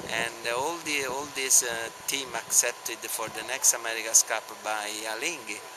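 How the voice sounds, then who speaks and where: With an Italian accent, a man talks at a fairly slow pace with ordinary pitch variation over noticeable background noise. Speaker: sailing team owner. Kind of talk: interview. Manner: halting.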